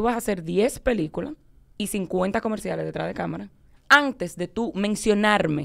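A woman's vocal fry at a moderate pace against a quiet background. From Dominican Republic. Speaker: guest's daughter; guest. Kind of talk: casual chat. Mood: animated, laughing storytelling. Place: studio. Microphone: studio mic.

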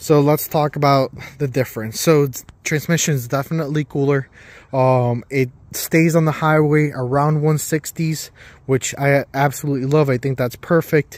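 The man's intonation is monotone and flat, at a moderate pace. The sound is dry, with no echo. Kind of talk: casual vlog chat. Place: street. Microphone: phone near.

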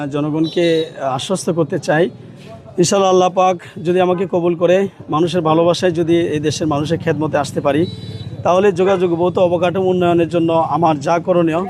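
A man speaks with a high pitch and fairly even intonation. His loudness stays very even over noticeable background noise. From Bangladesh, Kishoreganj. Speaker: politician, parliamentary candidate and cleric. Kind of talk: interview, campaign statement.

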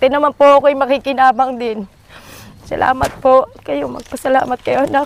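A woman with a high pitch speaks at a fairly quick pace in a monotone, flat intonation, the sound dry with no echo and light background noise. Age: old. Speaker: grandmother and guardian. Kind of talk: interview. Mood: grateful, emotional. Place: farm.

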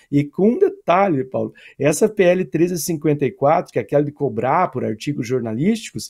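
A man with a fairly high pitch speaks in a dark, mellow tone. His intonation is lively, and the background is quiet. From Brazil. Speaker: professor, political commentator. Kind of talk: political commentary interview. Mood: critical, argumentative. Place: home room.

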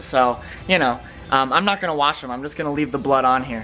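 A man talks fairly quickly while faint music sits in the background. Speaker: musician vlogger. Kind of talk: casual vlog chat. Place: home room. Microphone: phone near.

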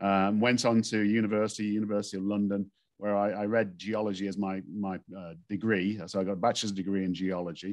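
A man talks at a fairly quick pace with hardly any pauses, in a fairly low pitch. His intonation is monotone and flat, and the background is quiet. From northern England, Stoke-on-Trent. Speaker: engineering geologist and expert witness. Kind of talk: interview. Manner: calm, composed. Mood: relaxed storytelling. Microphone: video call.

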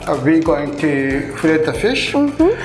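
A man talks over clear music in the background. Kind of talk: cooking tutorial. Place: kitchen.

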